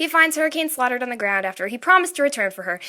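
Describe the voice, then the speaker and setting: Raised and projected, a woman's high-pitched voice has a bright, sharp tone and lively intonation. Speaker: amateur animator and writer. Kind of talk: casual explanation to viewers.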